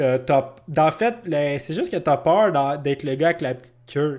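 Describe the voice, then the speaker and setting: On a very clean recording with a silent background, a man with a Quebec accent speaks very slowly at a fairly high pitch with ordinary pitch variation. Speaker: podcast co-host. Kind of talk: casual chat. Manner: animated.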